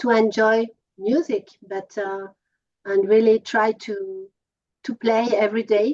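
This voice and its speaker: In a French accent, a woman speaks at a very slow pace with a fairly high pitch, the sound dry and close with no echo. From France, Paris. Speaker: musician. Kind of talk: interview. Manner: halting, many fillers.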